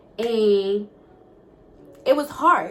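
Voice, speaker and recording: A woman's fairly high voice, animated in tone, over noticeable background noise. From Togo, West Africa, then US from age nine. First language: not English (Togolese languages or French). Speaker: YouTuber. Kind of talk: casual Q&A vlog.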